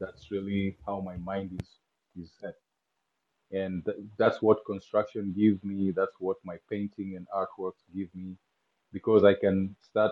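A man with a Kenyan accent speaks slowly and in a flat monotone, at a fairly low pitch. His loudness swings widely, and he leaves long, frequent pauses. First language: not English (Kenyan language). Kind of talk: casual interview chat.

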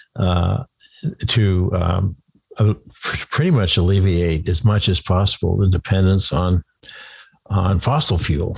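Dry and close with no echo, a man's somewhat breathy, very deep, low voice moves at a fairly slow pace with long, frequent pauses. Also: ordinary pitch variation, very even loudness. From Maine. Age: 70s. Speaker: podcast host.

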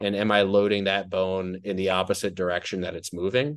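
Over a quiet background, a man with an American accent and a plain, everyday voice speaks fairly quickly at a fairly low pitch. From New Jersey. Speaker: personal trainer and online fitness educator. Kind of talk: casual chat. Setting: video call.

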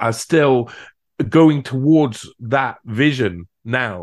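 Spoken in a Cardiff accent, this clip has a quiet background. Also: man. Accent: Welsh (Cardiff). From South Wales, Cardiff. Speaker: researcher and writer. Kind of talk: interview conversation.

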